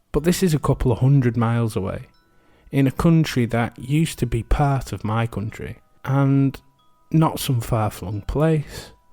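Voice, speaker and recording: Against background music, a man talks at a medium pitch. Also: ordinary pitch variation, moderate pace. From England. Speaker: history podcast host. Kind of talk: casual reflective commentary; podcast narration.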